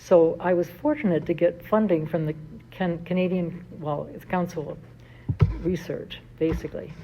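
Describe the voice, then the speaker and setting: The voice is somewhat breathy and moves at a moderate pace. Its intonation stays fairly even. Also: woman. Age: 80s+. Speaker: philosopher and religious sister. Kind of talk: speech at an honoring event. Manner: halting.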